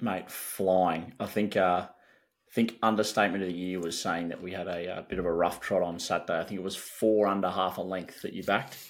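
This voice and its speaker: With an Australian accent, a man talks at a fairly quick pace in a very deep, low pitch and a monotone, flat intonation. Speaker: sports podcast co-host. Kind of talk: casual chat.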